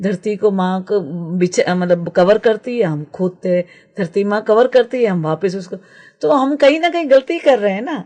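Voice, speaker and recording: At a moderate pace, a woman with a dark, mellow tone and a medium pitch makes very wide pitch swings. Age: 60s. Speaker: naturopath and permaculture practitioner. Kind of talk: radio interview. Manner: halting, many fillers.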